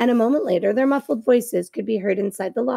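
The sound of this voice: Lively intonation in an unforced reading voice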